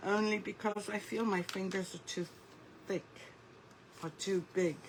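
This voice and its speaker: Speaking at a fairly slow pace, this woman keeps things unhurried. Her voice has a medium pitch. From United Kingdom (born in Lebanon). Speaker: craft artist. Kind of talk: live craft tutorial. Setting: livestream in a Facebook group.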